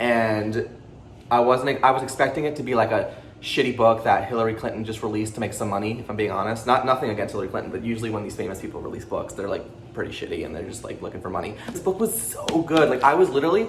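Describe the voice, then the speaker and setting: Amid noticeable background noise and audible room echo, a man with a medium pitch talks very fast in an animated tone, with big swings in loudness. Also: ordinary pitch variation. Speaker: booktuber. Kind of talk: casual book review vlog.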